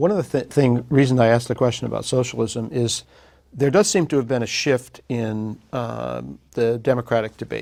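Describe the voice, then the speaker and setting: A man uses a plain, everyday voice at medium pitch, moderate pace and ordinary pitch variation. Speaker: news interviewer. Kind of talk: interview questions.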